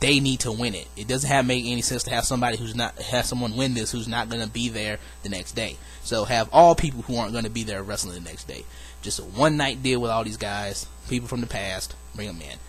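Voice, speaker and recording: With music in the background and audible room echo, a man talks at a very fast pace. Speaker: wrestling fantasy booking vlogger. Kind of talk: casual solo video monologue. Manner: casual, hesitant fillers.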